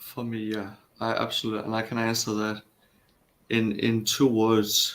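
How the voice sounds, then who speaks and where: A man with a Danish accent speaks at a moderate pace in a monotone, flat intonation. He leaves long, frequent pauses. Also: medium pitch for a man. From Denmark. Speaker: caller. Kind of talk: call-in debate. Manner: halting.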